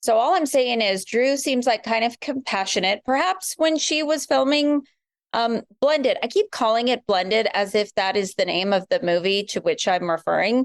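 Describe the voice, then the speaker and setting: A woman's normal speaking voice with an American accent, fairly high in pitch and lively in intonation, at a moderate pace and very even loudness, dry and close with no echo over a quiet background. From US West Coast, San Francisco Bay Area. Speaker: podcast guest. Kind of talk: casual chat.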